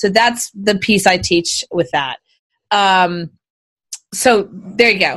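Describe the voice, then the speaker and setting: A woman with an American accent speaks in an unremarkable speaking voice. Her medium pitch shows ordinary variation. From Texas (Houston). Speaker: business coach. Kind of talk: interview. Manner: fast, run-on.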